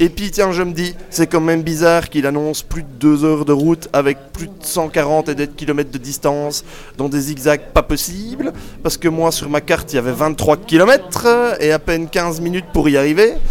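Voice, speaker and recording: A man keeps a moderate pace, with noticeable background noise behind his words. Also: fairly high pitch for a man, ordinary pitch variation. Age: 20s. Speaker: non-geek roommate segment regular. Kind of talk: comic rant. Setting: live recording with audience.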